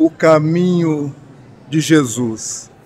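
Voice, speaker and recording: At a very slow speed, a man talks with pitch that shifts in an ordinary way. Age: 70s. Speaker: spiritist speaker and medium. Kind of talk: interview. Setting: radio studio.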